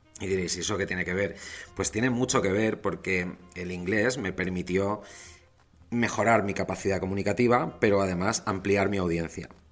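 At a moderate pace, a man talks in a normal speaking voice, fairly low in pitch with fairly even intonation. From Valencia, Spain. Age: 40s. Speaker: communication coach. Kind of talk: lecture.

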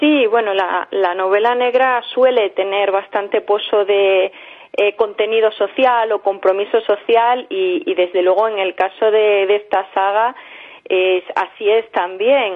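A woman speaks at a fairly slow pace with a medium pitch. She has an unremarkable speaking voice. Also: fairly even intonation. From Spain, Extremadura (Villanueva de la Serena). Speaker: novelist. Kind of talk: radio interview. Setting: phone call.

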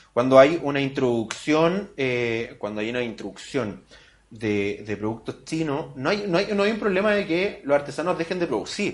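A man's fairly high-pitched voice moves along at a moderate speed. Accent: Chilean. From Chile, Santiago area. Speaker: podcast host. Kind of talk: casual interview chat.

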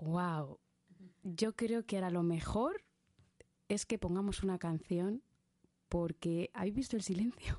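A woman's dark, mellow voice at medium pitch, fairly slow in pace, with long, frequent pauses. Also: ordinary pitch variation, quiet background. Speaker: radio host. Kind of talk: radio interview. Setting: studio.

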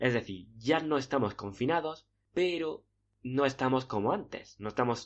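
A man speaks in a normal speaking voice of medium pitch, with lively intonation. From Spain. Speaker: podcast host, dating coach. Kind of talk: monologue tutorial.

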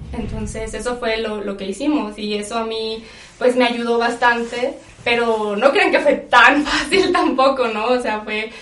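Noticeable background noise and audible room echo surround a woman speaking at a fairly high pitch with a Mexican accent. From Mexico. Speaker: podcast guest. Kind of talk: casual chat.

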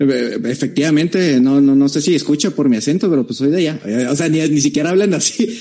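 A man with a normal speaking voice at a fairly high pitch, ordinary pitch variation and a fairly quick pace. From Tijuana, Mexico. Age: 20s. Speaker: accountant. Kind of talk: casual chat.

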